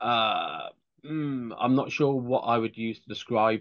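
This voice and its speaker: A man with an English accent speaks at medium pitch with ordinary pitch variation. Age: 50s. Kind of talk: interview.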